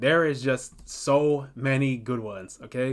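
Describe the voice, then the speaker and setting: Speaking in an animated tone, a man uses a medium pitch. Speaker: manga content creator. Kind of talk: tutorial. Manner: fast.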